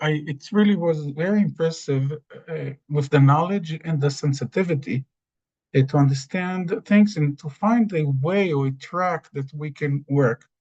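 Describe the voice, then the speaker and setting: The speaker is a man with a fairly high pitch and ordinary pitch variation. He takes a fairly slow pace. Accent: non-native. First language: Hebrew. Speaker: rabbi. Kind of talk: webinar presentation. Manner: halting.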